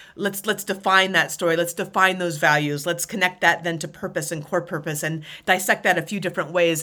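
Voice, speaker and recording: On a very clean recording with a silent background, a woman with an American accent and a fairly low pitch speaks at a fairly quick pace with fairly even intonation and a bright, sharp tone. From Alaska, near Anchorage. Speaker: former Army helicopter pilot and leadership speaker. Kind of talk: interview.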